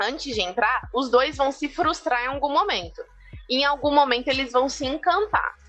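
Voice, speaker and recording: A woman's high, lively voice over music in the background. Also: moderate pace. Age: 20s. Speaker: visagist and beauty professional. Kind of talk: podcast interview.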